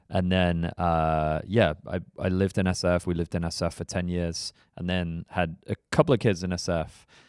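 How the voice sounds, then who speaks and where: With an English accent, a man with a very deep, low pitch talks at a moderate pace with fairly even intonation and hardly any pauses, recorded very cleanly against a silent background in a dry, close sound with no echo. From England, northwest London (Harrow). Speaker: startup investment platform executive. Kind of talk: podcast interview.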